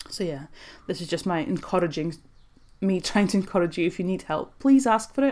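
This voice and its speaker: This woman's voice has a dark, mellow tone, captured in a very clean recording with a silent background. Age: 30s. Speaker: life coach and podcast host. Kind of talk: solo podcast monologue. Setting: home desk.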